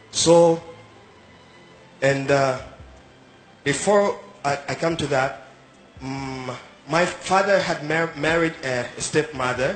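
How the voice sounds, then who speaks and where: Music in the background behind a man's fairly high voice, very slow with long, frequent pauses and ordinary pitch variation. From Uganda. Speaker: migrant sharing life story. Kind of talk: street interview, personal testimony. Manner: halting, hesitant.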